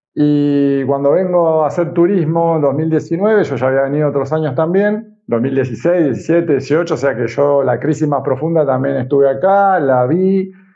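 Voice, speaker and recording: Speaking at a moderate pace with hardly any pauses, a man keeps his loudness very even while his fairly high pitch varies in an ordinary way. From Argentina. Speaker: communicator and influencer. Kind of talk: interview.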